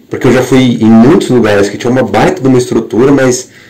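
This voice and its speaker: A man speaks over noticeable background noise. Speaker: worship leader. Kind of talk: podcast monologue. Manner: halting.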